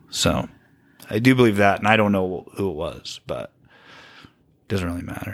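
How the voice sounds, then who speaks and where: A man with an American accent talks at a moderate pace, his pitch varying in an ordinary way. His loudness swings widely, and he leaves long, frequent pauses. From Utah County, Utah. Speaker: guest telling his story of leaving Mormonism. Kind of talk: casual interview chat. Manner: quiet talker, soft-spoken.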